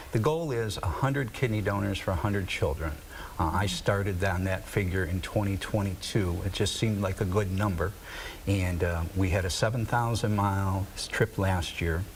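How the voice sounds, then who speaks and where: Audible room echo and noticeable background noise surround a man at a moderate pace. His fairly low pitch has ordinary pitch variation, and his loudness stays very even. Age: 60s. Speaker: nonprofit director and kidney donor. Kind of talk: TV interview. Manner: hesitant, many fillers.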